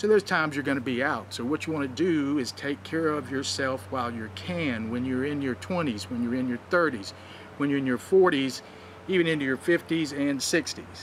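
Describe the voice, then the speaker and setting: Over noticeable background noise, a man talks at a fairly quick pace in a fairly high pitch with lively intonation. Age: 60s. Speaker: wrestling advice vlogger. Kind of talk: vlog commentary. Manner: casual, conversational with fillers.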